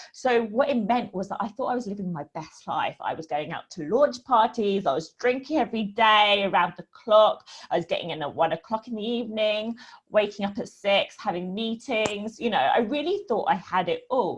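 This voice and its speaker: Speaking with a British accent, a woman keeps a moderate pace with hardly any pauses, her fairly high, somewhat breathy voice carrying lively intonation over a quiet background. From UK. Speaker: women's hormone coach. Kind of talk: online talk / webinar presentation. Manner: casual, many fillers.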